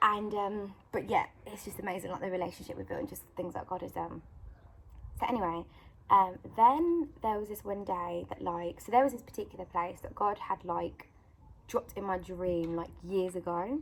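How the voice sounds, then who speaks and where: In a British accent, a woman with a medium pitch speaks at a moderate pace, using ordinary pitch variation and big swings in loudness. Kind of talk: casual vlog testimony. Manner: rambling filler-heavy chat.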